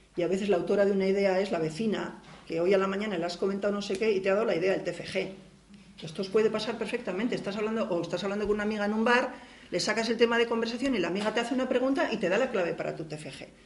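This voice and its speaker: A woman at a very fast pace, medium in pitch with ordinary pitch variation, amid noticeable background noise and audible room echo. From Basque Country. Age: 50s. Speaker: university researcher and feminist activist. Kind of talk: lecture. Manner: halting.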